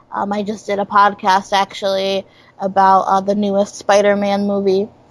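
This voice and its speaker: In an upstate New York accent, a woman speaks at a fairly slow pace with monotone, flat intonation. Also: big swings in loudness. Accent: upstate New York American. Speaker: comedian. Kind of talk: casual chat.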